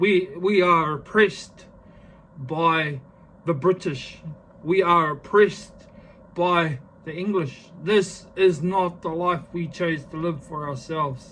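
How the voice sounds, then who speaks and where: Speaking very slowly with long, frequent pauses, this man has a New Zealand accent. His high voice is bright and sharp, with fairly even intonation. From New Zealand (Māori). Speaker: vlogger. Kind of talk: casual vlog talk to camera; impassioned rant. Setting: filming self on selfie stick. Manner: halting, many fillers; emphatic, impassioned.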